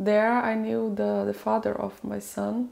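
A woman with a Portuguese accent, at a very slow pace. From Brazil. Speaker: interviewee sharing life story; personal storyteller. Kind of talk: interview; personal story interview-style monologue. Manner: halting. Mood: calm, reflective. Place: home room.

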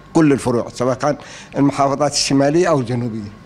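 Music plays in the background while a man speaks with fairly even intonation. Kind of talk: interview answer. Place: office. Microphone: studio mic.

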